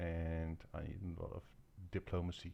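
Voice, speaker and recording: This man speaks with a non-native accent. His pitch is very deep and low. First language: not English. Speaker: gaming video creator. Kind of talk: gameplay commentary. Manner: halting, many fillers.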